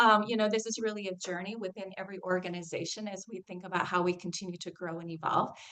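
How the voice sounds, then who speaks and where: A woman at a very fast pace with hardly any pauses, medium pitch, ordinary pitch variation and big swings in loudness, over noticeable background noise. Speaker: health center executive. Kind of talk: webinar presentation. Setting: video call.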